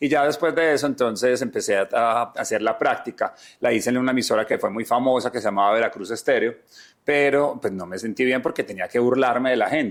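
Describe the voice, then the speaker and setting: In an Antioquian accent, a man at a medium pitch speaks at a fairly quick pace with ordinary pitch variation. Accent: Colombian paisa Spanish. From Medellín, Colombia (paisa). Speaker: entertainment journalist. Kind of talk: interview conversation. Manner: animated.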